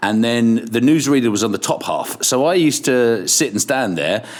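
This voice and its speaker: A man's voice over noticeable background noise. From Ireland, Kilkenny, English parents. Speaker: radio presenter. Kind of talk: casual interview. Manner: animated; stammering restarts.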